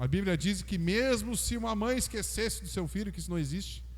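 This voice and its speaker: A man talks at a fairly quick pace, his voice carrying an audible room echo. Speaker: pastor. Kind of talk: sermon. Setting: church.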